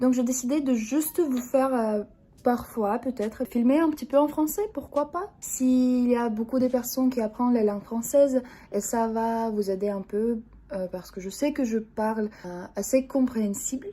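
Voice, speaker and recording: Over noticeable background noise, a woman with a Russian accent speaks at a high pitch with ordinary pitch variation. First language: Russian (speaking French). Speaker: vlogger. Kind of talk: casual vlog. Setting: at home. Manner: slow; halting, frequent 'euh'.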